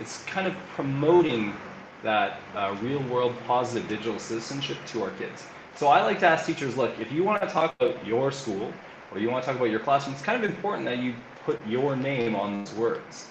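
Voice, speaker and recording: With a Canadian accent, a man talks fairly quickly at medium pitch and with lively intonation, amid audible room echo and noticeable background noise. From Canada, Alberta (Calgary). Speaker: learning and innovation coach. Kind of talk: interview.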